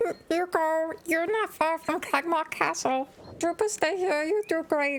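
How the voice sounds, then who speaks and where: This put-on character voice sits at an extremely high pitch and moves at a fairly slow pace. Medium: actual play. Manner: simple broken speech, third person.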